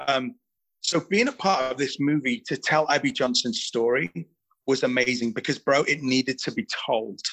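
A man with an English accent, moderate pace and lively intonation. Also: medium pitch for a man. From England. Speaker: actor. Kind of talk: casual chat.

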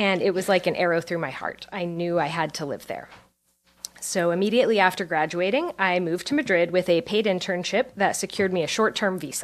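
A woman with an American accent speaks at a fairly quick pace in a medium pitch. She has an ordinary speaking voice. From Pennsylvania. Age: 30s. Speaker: writer. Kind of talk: interview; storytelling on stage. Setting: stage with audience.

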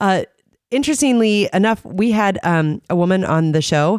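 A woman with an unremarkable speaking voice talks at a moderate pace with ordinary pitch variation. The recording is very clean, with a silent background and a dry, close sound with no echo. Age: 30s. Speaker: radio host. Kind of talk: casual interview. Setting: studio.

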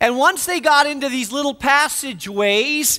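A man projects his raised voice at a moderate pace, extremely high in pitch. His tone is bright and sharp, with ordinary pitch variation. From northern Spain. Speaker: pastor. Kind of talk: sermon.

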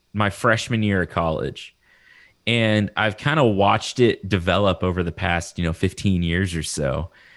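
A man with a Texan accent at a moderate pace, on a very clean recording with a silent background. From Texas. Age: 30s. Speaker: horticulture lecturer and podcast host. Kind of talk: casual interview.

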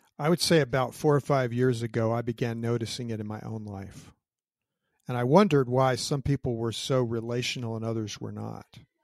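Big swings in loudness mark this man's fairly quick speech, which has a medium pitch and fairly even intonation. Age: 60s. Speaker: retired army general. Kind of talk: interview, personal storytelling.

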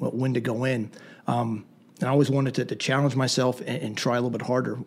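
At a fairly quick pace and with fairly even intonation, a man with an American accent speaks at medium pitch over noticeable background noise. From southern Pennsylvania, Lancaster County. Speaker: Army veteran and firearms instructor. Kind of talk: interview. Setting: studio.

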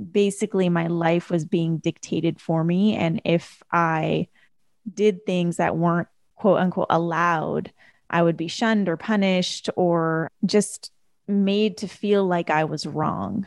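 In a dry, close recording with no echo and a quiet background, an ordinary speaking voice moves at a fairly slow pace with fairly even intonation. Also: woman, fairly low pitch for a woman. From Canada. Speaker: life coach and author. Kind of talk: interview.

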